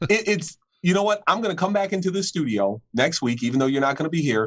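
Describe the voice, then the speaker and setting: A man with a New York accent talks at a very fast pace with lively intonation. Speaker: football podcast co-host. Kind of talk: casual sports chat.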